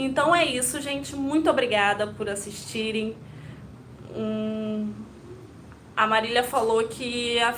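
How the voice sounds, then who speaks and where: In a room with audible echo, a woman speaks in a high voice with fairly even intonation and long, frequent pauses. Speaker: Montessori educator. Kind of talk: live stream talk to viewers. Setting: live video stream. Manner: occasional stumbles.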